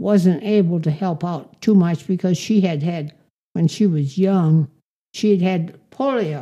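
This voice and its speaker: At a very slow pace, a woman speaks in a fairly low, dark, mellow voice with ordinary pitch variation. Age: 80s+. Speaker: centenarian interviewee. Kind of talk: casual interview.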